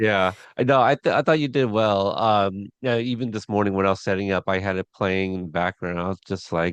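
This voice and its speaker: Against a quiet background, a man with a Pacific Northwest accent talks at a fairly quick pace with hardly any pauses, his fairly low voice showing ordinary pitch variation in a dry, close sound with no echo. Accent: Pacific Northwest American. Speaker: podcast interviewer. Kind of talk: interview. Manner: halting, many fillers.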